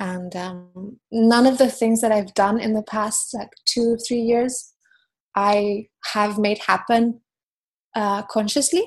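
At a very slow pace, a woman talks in a fairly high, somewhat breathy voice with fairly even intonation. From Mallorca, Spain. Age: 30s. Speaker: photographer. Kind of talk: casual interview chat. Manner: hesitant, many fillers.

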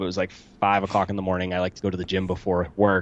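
A man talks at a very fast pace. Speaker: investing podcast host and accountant. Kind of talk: casual interview. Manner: talkative.

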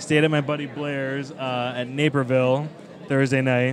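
A man with an American accent speaks at medium pitch in a flat monotone. Noticeable background noise and audible room echo surround him. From Chicago, US Midwest. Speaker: wrestling podcaster and writer. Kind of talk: casual chat.

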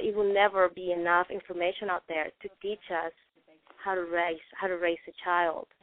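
A woman's medium-pitched, flat monotone at a moderate pace, in a non-native accent. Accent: foreign-accented English. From non-English-speaking country, moved to US at 14. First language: non-English. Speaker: study group participant. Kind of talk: group discussion on conference call. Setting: phone call.

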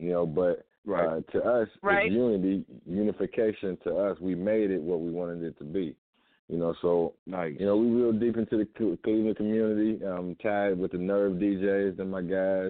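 A man with an American accent uses a normal speaking voice, fairly low in pitch, with fairly even intonation at a moderate pace. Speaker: community organizer. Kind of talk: casual radio talk.

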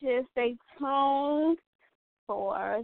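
Here a woman talks. The rise and fall of her pitch is ordinary. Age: 20s. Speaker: podcast co-host. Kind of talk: casual chat.

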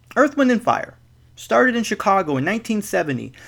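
Speaking at a moderate pace with an American accent, this man has a high pitch and very wide pitch swings. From US Midwest. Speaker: podcast host and educator. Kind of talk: scripted monologue.

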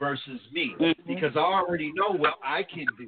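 A man with a normal speaking voice in an American accent, at a moderate pace with ordinary pitch variation. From New Jersey. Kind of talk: casual chat.

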